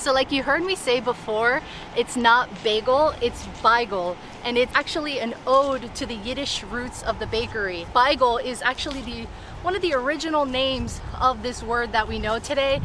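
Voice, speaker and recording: A woman with a high voice talks at a moderate pace with ordinary pitch variation, in a dry sound with no echo over noticeable background noise. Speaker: travel vlogger. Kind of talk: casual vlog chat. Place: street.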